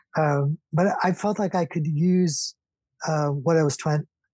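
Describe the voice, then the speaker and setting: Very slow and somewhat breathy, the voice has a dark, mellow tone in a dry, close sound with no echo. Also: man. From South Africa. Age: 60s. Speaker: painter and architect. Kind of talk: interview.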